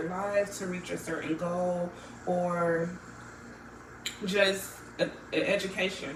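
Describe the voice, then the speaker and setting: A woman speaks at a fairly low pitch in a monotone, flat delivery. Noticeable background noise and audible room echo are present. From Florida, Jamaican American family. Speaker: student interviewee. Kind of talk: interview answers. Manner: hesitant, many fillers.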